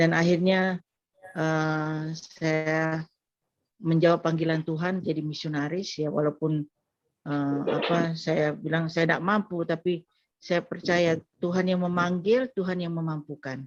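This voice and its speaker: Speaking at a fairly slow pace, a woman keeps her fairly low voice in a fairly even intonation. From Madura, Indonesia. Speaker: pastor and missionary. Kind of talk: testimony. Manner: halting.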